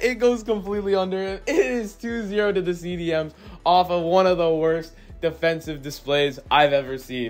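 A man speaks at a moderate pace in a high, upbeat, energetic voice, with music playing in the background. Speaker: gaming YouTuber. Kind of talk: live play-by-play commentary over game footage, then casual YouTube chat. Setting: video game footage with voiceover. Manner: casual, upbeat, energetic.

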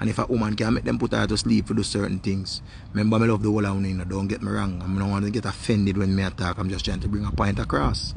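Fairly low-pitched man in a Jamaican accent at a very fast pace, with ordinary pitch variation and light background noise. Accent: Jamaican Patois. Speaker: online video host. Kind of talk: casual monologue. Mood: animated, opinionated. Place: garden. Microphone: phone near.

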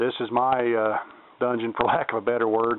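A man at medium pitch, moving at a moderate pace

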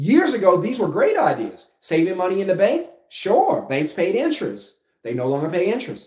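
With audible room echo, a man speaks with vocal fry and very wide pitch swings. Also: quiet background. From South Louisiana. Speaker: finance YouTuber and business coach; finance vlogger. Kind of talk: casual vlog monologue. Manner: conversational with filler words. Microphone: phone near.

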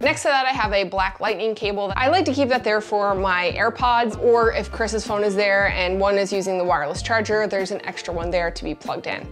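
With faint music in the background, a woman speaks at a very fast pace with ordinary pitch variation. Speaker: creator showing her desk setup. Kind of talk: casual vlog tour. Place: office. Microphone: lapel.

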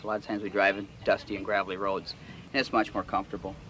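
A man talks in a fairly low voice. The sound is dry with no echo, though noticeable background noise is present. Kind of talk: tutorial. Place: open country.

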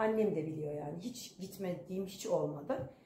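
Over light background noise and audible room echo, a woman speaks fairly slowly, her pitch swinging very widely. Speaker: vlogger. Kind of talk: casual vlog chat. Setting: home. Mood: tired, reflective. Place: home room. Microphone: phone near.

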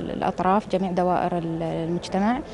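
A woman speaks in an Emirati accent with fairly even intonation. Light background noise can be heard. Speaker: archaeologist. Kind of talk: TV talk show interview. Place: hall. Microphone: handheld.

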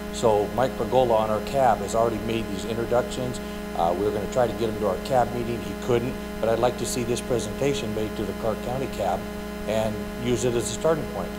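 A man rattles along at a very fast pace while music sounds in the background. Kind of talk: public comment at a meeting. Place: hall. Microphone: podium.

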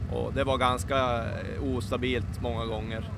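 Here a man speaks at a moderate pace. The sound is dry with no echo, though background noise is noticeable. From northern Sweden. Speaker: drag racer. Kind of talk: casual interview. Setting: outdoors. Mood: calm, matter-of-fact. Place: open country. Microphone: handheld.

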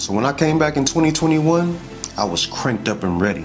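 A man speaks at a moderate pace, with clear music audible in the background. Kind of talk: motivational personal narrative to camera. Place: studio.

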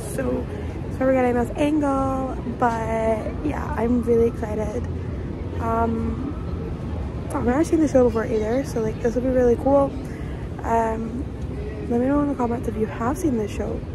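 A woman talks at a moderate pace with long, frequent pauses. The sound is dry with no echo, though background noise is noticeable. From Scotland. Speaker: professional dancer. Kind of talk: casual vlog talk to camera. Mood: excited and nervous. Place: street. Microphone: phone near.

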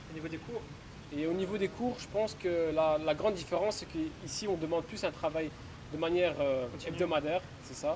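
Against noticeable background noise, a man talks at a fairly quick pace with a high pitch and ordinary pitch variation. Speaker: exchange student. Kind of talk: casual chat.

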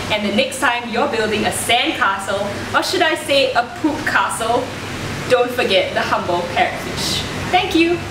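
Over noticeable background noise, a woman speaks at a high pitch and moderate pace, her intonation lively and her loudness very even. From Singapore. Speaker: marine ecologist; presenter. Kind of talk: presenter audition piece. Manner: animated. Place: studio.

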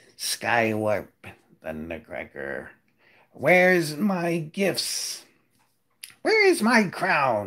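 In a put-on character voice at a middle pitch, the speaker goes at a very slow pace with long, frequent pauses. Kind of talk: imperious, regal. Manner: evil, demanding.

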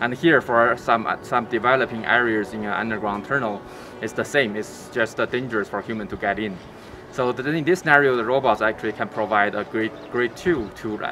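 A man at a fairly quick pace with ordinary pitch variation over faint music in the background. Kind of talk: interview answer. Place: open country. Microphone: lapel.

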